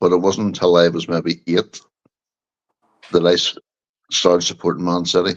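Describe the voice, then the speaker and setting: A man speaks in a very deep, low voice with flat, monotone intonation and long, frequent pauses. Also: moderate pace. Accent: Northern Irish. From Northern Ireland, Bangor, County Down. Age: 60s. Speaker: football fan guest. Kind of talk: casual chat.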